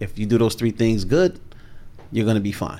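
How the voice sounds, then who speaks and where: Here is a man speaking. His pitch is medium. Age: 50s. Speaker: sales coach. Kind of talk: podcast interview.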